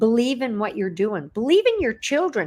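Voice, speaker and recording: This woman's pitch swings very widely as she speaks at a moderate pace. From Canada. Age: 60s. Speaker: online entrepreneur. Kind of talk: interview. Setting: livestream video call.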